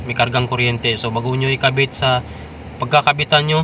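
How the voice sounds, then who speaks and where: The speech moves at a fairly quick pace in a monotone, flat intonation. Noticeable background noise runs behind it. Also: man. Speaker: DIY repair vlogger. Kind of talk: tutorial. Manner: casual, hesitant with fillers.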